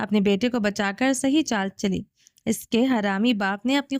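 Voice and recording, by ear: The speaker is reading aloud in a natural voice, with ordinary pitch variation and a quiet background.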